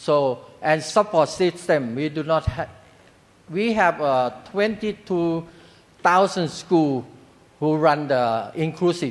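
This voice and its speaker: A man with a Thai accent speaks at a very slow pace, with long, frequent pauses. His pitch is fairly high and varies in an ordinary way. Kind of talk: panel presentation. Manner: halting.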